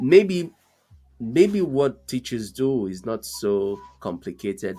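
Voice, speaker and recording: Over music in the background, the speech moves at a very slow pace with very wide pitch swings. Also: man, medium pitch for a man. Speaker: podcast host. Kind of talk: podcast interview questions.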